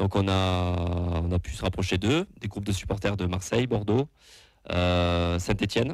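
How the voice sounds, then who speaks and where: Speech comes at a fairly slow pace with long, frequent pauses and ordinary pitch variation, in a very clean recording with a silent background. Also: man, very deep, low pitch for a man. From southwest France. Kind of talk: casual chat. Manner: halting, many fillers.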